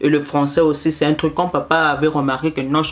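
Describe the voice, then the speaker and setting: Noticeable background noise fills the recording. Through it, a woman speaks rather quickly. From Canada, Congolese-Brazzaville family. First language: Lari (speaking French). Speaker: mother and postpartum services vlogger. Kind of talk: casual storytelling vlog. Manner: repetitive, hesitant.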